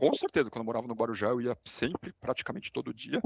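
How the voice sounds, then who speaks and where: A man at a very fast pace, in a dry, close sound with no echo. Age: 40s. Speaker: podcast guest. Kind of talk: casual interview chat.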